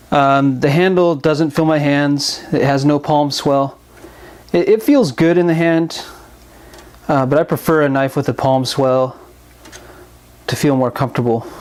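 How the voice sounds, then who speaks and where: Over noticeable background noise, a man with a fairly high pitch speaks with fairly even intonation and very even loudness, leaving long, frequent pauses. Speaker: knife reviewer. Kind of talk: product review talk. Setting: new microphone.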